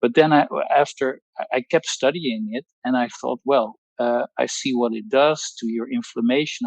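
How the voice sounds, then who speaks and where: With a Dutch accent, a man speaks at a fairly slow pace in a medium pitch with ordinary pitch variation, the sound dry and close with no echo. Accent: Dutch accent, non-native English. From Netherlands. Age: 60s. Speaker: pharmacologist giving a testimonial. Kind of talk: testimony. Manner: halting, many fillers and repetitions.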